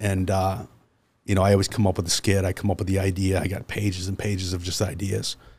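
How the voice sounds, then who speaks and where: With an American accent, a man speaks at a very fast pace in a very deep, low pitch, somewhat breathy. His intonation is monotone and flat, on a very clean recording with a silent background. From Central New York. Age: 40s. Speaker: car dealer. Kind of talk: casual chat. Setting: studio.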